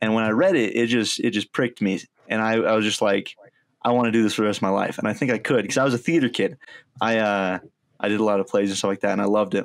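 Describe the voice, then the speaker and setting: Talking at a very fast pace with an American accent, a man keeps a fairly low pitch, ordinary pitch variation and very even loudness on a very clean recording with a silent background. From US Midwest. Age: 20s. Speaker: college student. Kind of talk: interview.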